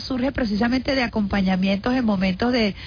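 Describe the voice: A woman talks at a fairly quick pace, her fairly high pitch showing ordinary variation.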